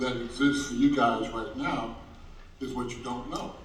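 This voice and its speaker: A man with a medium pitch talks at a moderate pace in a monotone, flat intonation. The recording has audible room echo and noticeable background noise. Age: 60s. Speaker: mentor. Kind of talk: panel discussion.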